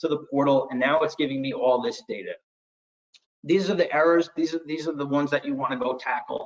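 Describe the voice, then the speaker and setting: A man with a fairly high pitch talks at a fairly quick pace with ordinary pitch variation. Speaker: IT storage solutions presenter. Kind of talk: webinar product demo. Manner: fast; hesitant, with fillers.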